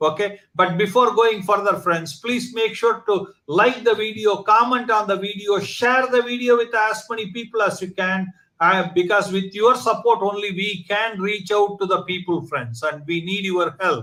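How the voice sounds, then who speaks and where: In a raised, projected voice, a man speaks with a bright, sharp tone at a high pitch and ordinary pitch variation. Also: moderate pace. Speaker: online talk show host. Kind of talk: channel promo; interview. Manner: hesitant, many fillers.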